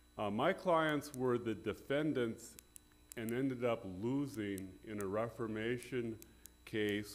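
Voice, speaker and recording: The speaker is a man with ordinary pitch variation. His pace is fairly slow. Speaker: attorney arguing before court. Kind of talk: legal oral argument. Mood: formal, measured. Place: hall.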